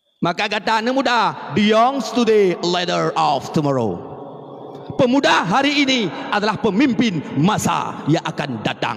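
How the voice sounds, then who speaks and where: Through noticeable background noise, a man speaks fairly slowly at a high pitch with very wide pitch swings. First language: Acehnese (speaking Indonesian). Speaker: Islamic preacher. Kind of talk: sermon.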